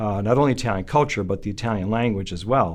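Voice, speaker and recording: A man's fairly low voice with ordinary pitch variation, in a western New York accent. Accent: American, western New York. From Buffalo, New York, US. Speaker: son of the honoree. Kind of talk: interview. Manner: halting, many fillers.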